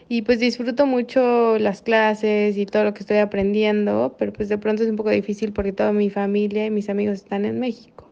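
Speaking in a Mexican accent at a fairly quick pace, the voice is monotone and flat in intonation, with hardly any pauses. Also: woman, medium pitch for a woman. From Mexico. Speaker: listener sending voice message, medical resident abroad. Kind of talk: recorded voice message.

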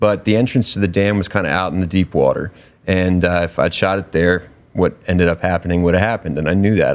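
A man with an American accent talks at a very fast pace. His pitch is very deep and low, with fairly even intonation. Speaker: survival show contestant. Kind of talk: casual interview chat. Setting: studio.

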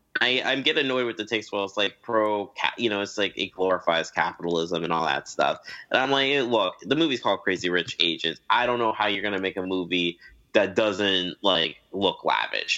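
This man has an unremarkable speaking voice, fairly low in pitch, delivered at a fairly quick pace with ordinary pitch variation. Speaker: film fan guest. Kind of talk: casual chat.

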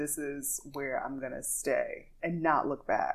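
A woman's very slow pace in a Louisiana accent. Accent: Southern US, Louisiana. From Louisiana, US. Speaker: podcast host and singer. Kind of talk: casual interview chat. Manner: animated, upbeat.

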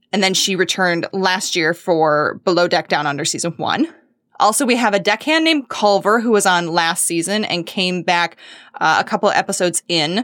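With lively intonation, a woman speaks at medium pitch and a moderate pace in an unremarkable speaking voice, captured in a very clean recording with a silent background. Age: 30s. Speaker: podcast producer. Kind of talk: casual chat.

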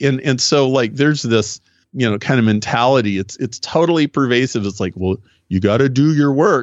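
A man with an American accent, a normal speaking voice, medium pitch and a moderate pace. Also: ordinary pitch variation. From US Midwest, Nebraska. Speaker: business consultant and author. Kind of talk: interview.

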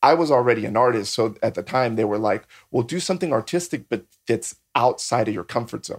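Recorded very cleanly against a silent background, an unremarkable speaking voice moves at a fairly quick pace with lively intonation. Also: man, medium pitch for a man. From San Diego, California (born in Mexico, moved at about six). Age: 40s. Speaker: MMA and bare knuckle fighter, artist, drag performer. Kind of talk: casual chat.

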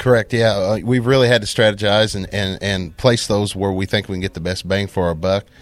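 With an American accent, a man speaks at a fairly low pitch and hardly pauses. His intonation stays fairly even. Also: very clean recording, silent background. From Southwest Missouri. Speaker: cattle producer and beef council chairman. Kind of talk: interview. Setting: on-site at an annual meeting. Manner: halting, many repeated words.

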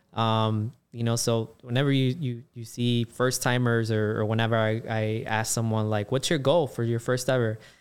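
In a very clean recording with a silent background, a man speaks at a moderate pace with hardly any pauses. His pitch is medium and his intonation is monotone and flat. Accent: Chicago. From Chicago, South Side. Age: 40s. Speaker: race organizer and runner. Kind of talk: casual chat.

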